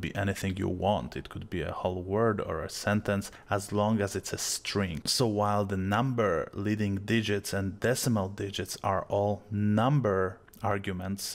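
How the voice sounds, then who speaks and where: On a very clean recording with a silent background, a man with a strong Polish accent speaks at a moderate pace and fairly low pitch, his intonation fairly even and hardly any pauses. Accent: thick Polish. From Poland. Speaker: video tutorial creator. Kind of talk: software tutorial.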